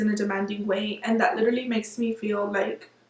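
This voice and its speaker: A woman speaks very fast with a Spanish accent, her fairly high pitch held in a fairly even intonation. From Miami, Florida. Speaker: beauty vlogger. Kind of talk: casual vlog monologue.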